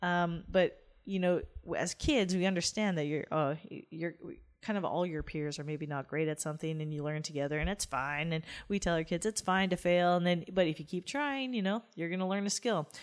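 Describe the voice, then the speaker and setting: In a western Canadian accent, a woman talks at a fairly quick pace with a fairly low pitch and ordinary pitch variation, on a very clean recording with a silent background. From rural Alberta, Canada. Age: 30s. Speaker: professional cyclist. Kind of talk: interview.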